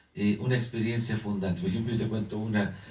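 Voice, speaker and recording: With audible room echo, a man of medium pitch sounds animated and somewhat breathy. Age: 50s. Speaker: panelist in church discussion. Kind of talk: online panel discussion. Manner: animated storytelling.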